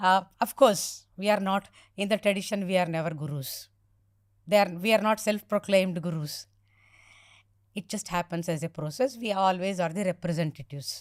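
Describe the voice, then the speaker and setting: A woman talks at a moderate pace in an unremarkable speaking voice with ordinary pitch variation. The recording is very clean and dry, close with no echo, over a silent background. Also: medium pitch for a woman. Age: 60s. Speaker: spiritual teacher. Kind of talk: podcast interview.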